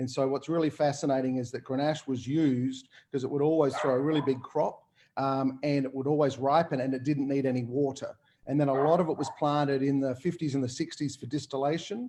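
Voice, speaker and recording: Talking fairly quickly with an Australian accent, a man has a fairly high pitch and a dark, mellow tone. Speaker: winemaker. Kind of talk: casual panel talk. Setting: video call. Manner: fast; animated.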